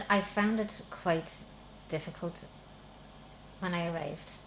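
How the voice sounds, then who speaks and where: This woman speaks with a southern Irish accent. Her fairly low voice keeps a fairly even intonation. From Republic of Ireland. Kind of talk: interview testimony.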